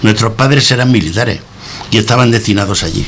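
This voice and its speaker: Noticeable background noise accompanies a man talking at a fairly quick pace. His pitch is medium with ordinary variation. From Spain, moved around as child (born Antequera, Andalusia). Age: 70s. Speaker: retired bank employee, radio guest. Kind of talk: reading aloud a prepared personal text.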